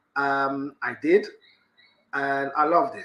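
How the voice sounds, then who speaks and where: A man's fairly high voice with a London accent and a bright, sharp tone. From London, England. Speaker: fitness business owner and property investor. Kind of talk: live stream guest talk. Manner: hesitant, many fillers and repeats.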